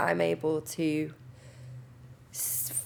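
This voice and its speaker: A woman with a Manchester accent is heard in a very clean recording with a silent background. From Manchester, northern England. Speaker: project manager and music teacher. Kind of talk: panel discussion.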